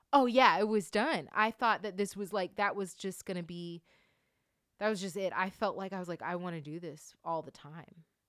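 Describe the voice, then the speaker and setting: With an American accent, a woman in an unremarkable speaking voice talks at a moderate pace and medium pitch, using ordinary pitch variation and big swings in loudness, on a very clean recording with a silent background. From US South, Atlanta suburbs, Georgia. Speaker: podcast host and performer. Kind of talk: casual chat.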